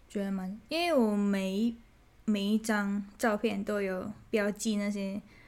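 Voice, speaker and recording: A woman's very slow speech with fairly even intonation, in a Thai accent. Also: medium pitch for a woman. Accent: non-native Mandarin, Thai-accented. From Thailand. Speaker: food photographer and influencer. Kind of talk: casual interview. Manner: hesitant, many fillers.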